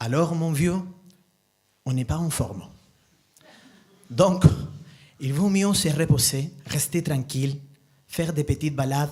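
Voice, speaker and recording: With a slight non-native accent, a man speaks at a very slow pace with long, frequent pauses. His tone is dark, mellow and somewhat breathy, fairly high in pitch, with ordinary pitch variation. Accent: slight foreign accent in French. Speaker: storyteller. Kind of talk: live storytelling talk. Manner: halting.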